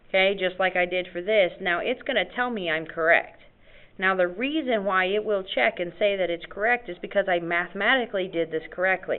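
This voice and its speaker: In a plain, everyday voice, a woman speaks fairly quickly at a medium pitch with ordinary pitch variation. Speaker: math teacher. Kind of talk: lecture.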